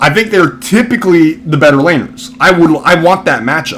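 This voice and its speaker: A man mumbles at a fairly quick pace with lively intonation. Noticeable background noise runs underneath. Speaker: esports commentator. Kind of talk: casual chat. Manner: mumbling.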